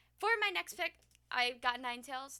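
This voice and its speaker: Over noticeable background noise, a woman speaks in a raised, projected voice with very wide pitch swings. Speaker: gaming YouTuber. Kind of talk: casual commentary video. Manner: fast; hesitant with fillers.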